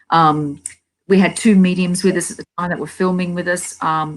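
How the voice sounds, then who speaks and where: Here a woman speaks with an Australian accent. Her pace is fairly quick. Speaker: paranormal investigator. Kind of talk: casual chat. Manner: halting, many fillers and repeats.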